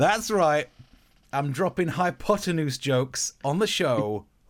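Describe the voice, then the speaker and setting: Heard in a very clean recording with a silent background, a man with a slight East Midlands accent speaks with very wide pitch swings. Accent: slight East Midlands English, near Yorkshire. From Nottinghamshire, England. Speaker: comedian and podcast host. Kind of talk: casual chat, comedy banter.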